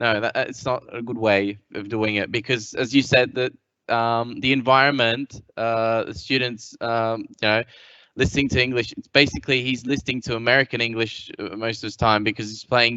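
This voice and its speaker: Speaking with an Australian accent, a man keeps a moderate pace and a monotone, flat intonation. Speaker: English teacher. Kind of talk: panel discussion. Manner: halting.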